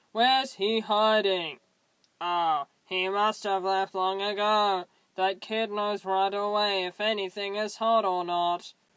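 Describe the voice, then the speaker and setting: The speaker uses a put-on character voice at a middle pitch and a fairly slow pace. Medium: solo performance. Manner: offhand, breezy.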